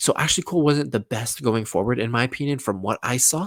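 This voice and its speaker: An animated man at a fairly quick pace, lively intonation, dry, close sound with no echo, and a very clean recording with a silent background. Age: young. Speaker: football youtuber. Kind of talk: casual monologue. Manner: fast.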